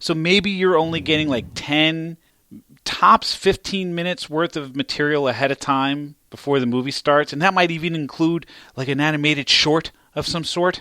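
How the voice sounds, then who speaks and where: In a very clean recording with a silent background, a man with a fairly high pitch and a bright, sharp tone talks at a moderate pace with ordinary pitch variation in a dry, close sound with no echo. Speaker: podcast host. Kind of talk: casual podcast conversation.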